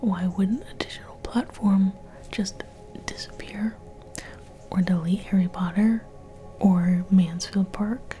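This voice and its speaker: Someone whispers in a soft-spoken, playful tone at a fairly slow pace. Music plays in the background. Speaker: ASMR creator. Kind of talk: intellectual ASMR ramble to camera. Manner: soft-spoken, whispery, playful mock-scholarly.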